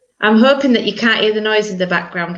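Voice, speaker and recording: Speaking with a Yorkshire accent, a woman is heard amid noticeable background noise and audible room echo. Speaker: minister leading church service. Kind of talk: online church service.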